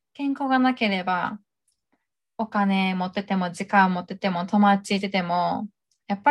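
On a very clean recording with a silent background, a woman with a somewhat breathy voice at medium pitch speaks at a fairly slow pace with ordinary pitch variation. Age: 20s. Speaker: podcast co-host. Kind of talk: casual chat.

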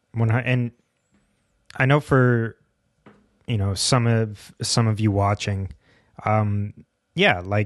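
This man's fairly low voice holds a fairly even intonation, with a quiet background behind it. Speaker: podcast co-host and coach. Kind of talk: casual co-hosted podcast discussion. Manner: hesitant, many fillers.

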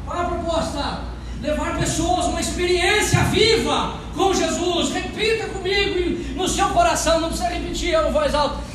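A loud, animated voice in a Brazilian accent at a fairly slow pace, hardly any pauses, over noticeable background noise. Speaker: pastor. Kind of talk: sermon. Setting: church. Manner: loud, fervent preacher, tends to raise voice; animated, emphatic preaching in full flow, quoting God's words with rhetorical repetition.

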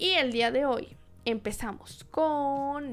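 A woman talks at a high pitch with a Jalisco accent. Her tone is animated. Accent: Mexican Spanish, Jalisco. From Mexico, Guadalajara, Jalisco. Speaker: podcast host. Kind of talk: solo podcast monologue. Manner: casual, animated.

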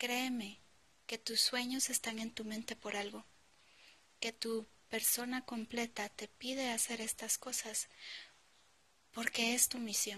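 A woman speaks very slowly at a fairly high pitch, with long, frequent pauses. Her intonation is monotone and flat. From Guatemala. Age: 20s. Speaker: podcaster. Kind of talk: motivational monologue.

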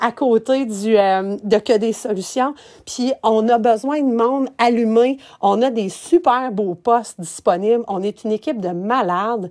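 Speaking in a Quebec accent, a woman with a fairly high pitch and ordinary pitch variation moves at a fairly slow pace in a very clean recording with a silent background. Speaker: podcast host, event planner. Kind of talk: casual monologue. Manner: halting, many fillers.

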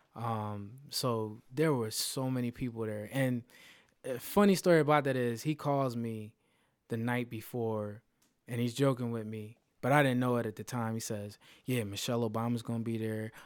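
In an ordinary speaking voice with an American accent, a man talks at a moderate pace and medium pitch with fairly even intonation, in a very clean recording with a silent background. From Philadelphia, US. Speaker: DJ and IT project manager. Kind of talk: interview.

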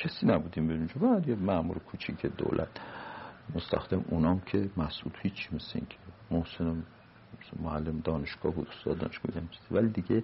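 Ordinary pitch variation and a fairly quick pace from a man with a very deep, low pitch. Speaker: retired diplomat. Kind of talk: oral history interview.

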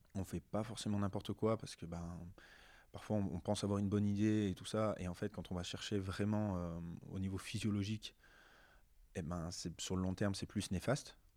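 Over a silent background on a very clean recording, a man speaks in a fairly low, dark, mellow monotone at a fairly quick pace, with long, frequent pauses. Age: 30s. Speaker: adapted physical activity teacher. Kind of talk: interview.

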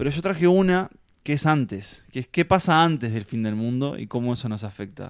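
On a very clean recording with a silent background, a man with a Uruguayan accent talks at a moderate pace, his medium pitch marked by lively intonation. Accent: Uruguayan Spanish (Rioplatense). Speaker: film podcast co-host. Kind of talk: casual chat.

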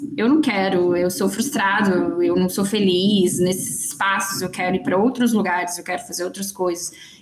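Medium-pitched female speech at a moderate pace, ordinary pitch variation throughout, over noticeable background noise. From Belo Horizonte, Minas Gerais. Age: 30s. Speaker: marketing agency founder. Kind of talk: casual chat.

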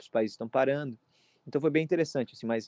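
With ordinary pitch variation, a man talks in an unremarkable speaking voice pitched fairly high. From Brazil. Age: 20s. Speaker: college student. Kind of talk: casual interview.

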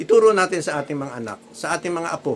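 A man with an ordinary speaking voice, a fairly quick pace and ordinary pitch variation. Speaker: lay preacher. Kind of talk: sermon.

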